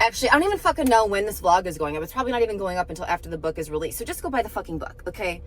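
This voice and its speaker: Music in the background behind a woman's very fast delivery. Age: 30s. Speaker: vlogger and novelist. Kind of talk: casual vlog talk to camera. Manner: chatty, filler-heavy.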